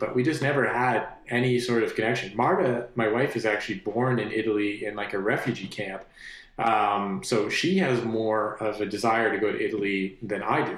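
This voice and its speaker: A man at medium pitch, fairly quick pace and hardly any pauses, with audible room echo. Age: 30s. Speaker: musician. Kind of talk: casual interview. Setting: studio.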